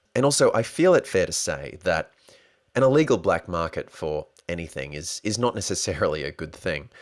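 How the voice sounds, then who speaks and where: With an Australian accent, a man talks in very wide pitch swings on a very clean recording with a silent background. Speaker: podcast host. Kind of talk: solo podcast monologue. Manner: animated.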